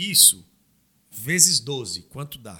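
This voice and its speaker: Very wide pitch swings and vocal fry run through this man's fairly high, bright, sharp voice. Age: 30s. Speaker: knife maker and labor consultant. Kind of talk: casual chat. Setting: studio.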